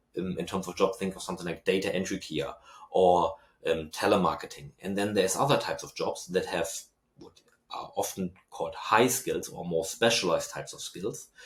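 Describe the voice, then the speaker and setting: A man's loudness swings widely as he talks fairly quickly. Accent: German. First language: German. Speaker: university researcher and lecturer. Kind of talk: podcast interview. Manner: hesitant with fillers.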